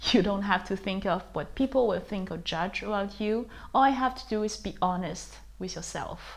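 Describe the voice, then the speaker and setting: A woman with vocal fry talks at a moderate pace, her medium pitch showing ordinary variation. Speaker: artist. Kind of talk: interview. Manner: halting, many fillers.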